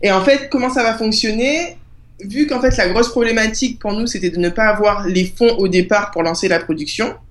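A woman talks at a moderate pace. Her pitch is fairly high with ordinary variation. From Guadeloupe. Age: 20s. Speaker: author and project creator. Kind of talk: interview.

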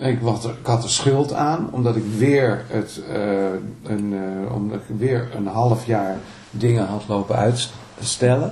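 A man speaks at a very slow pace, his pitch medium and his intonation fairly even. Noticeable background noise and audible room echo fill the recording. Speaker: singer-songwriter and guitarist. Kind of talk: interview. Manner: halting.

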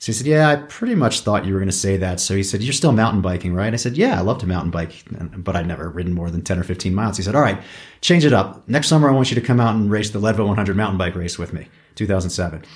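Speaking at a very fast pace, a man sounds somewhat breathy. His pitch is fairly low. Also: ordinary pitch variation. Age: 50s. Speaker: mountain bike racer. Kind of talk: interview. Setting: in a home.

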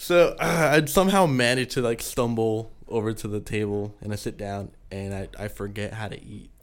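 A medium-pitched man talks at a moderate pace with lively intonation and big swings in loudness. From San Diego, California. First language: Spanish. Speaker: band vocalist. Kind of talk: casual chat.

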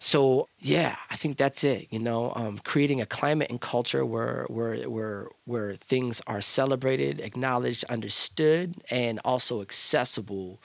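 Using an ordinary speaking voice, a man at a medium pitch talks at a fairly slow pace with ordinary pitch variation and hardly any pauses. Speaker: hip hop artist and youth mentor. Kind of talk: interview conversation. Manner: fluent, flowing delivery.

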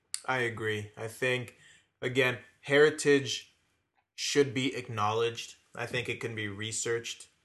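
A man with a plain, everyday voice speaks at a fairly slow pace in a medium pitch with fairly even intonation. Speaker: podcast co-host. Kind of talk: casual chat.

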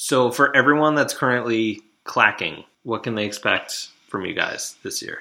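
With hardly any pauses, a man speaks at a moderate pace in an ordinary speaking voice of medium pitch, showing ordinary pitch variation and big swings in loudness, on a very clean recording with a silent background. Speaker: podcast host. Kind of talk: interview intro, casual chat.

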